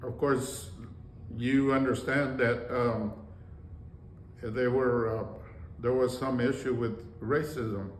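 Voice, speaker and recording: With long, frequent pauses, a man speaks very slowly at a medium pitch and fairly even intonation, in audible room echo. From rural Texas, Mexican-American. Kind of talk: personal life story interview. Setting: conference room. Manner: halting, many fillers.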